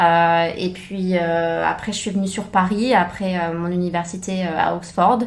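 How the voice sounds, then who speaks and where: A woman with a fairly low voice talks fairly slowly in a flat monotone with hardly any pauses, amid audible room echo and noticeable background noise. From France. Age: 30s. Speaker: former private chef. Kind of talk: interview. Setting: podcast. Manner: hesitant, many fillers.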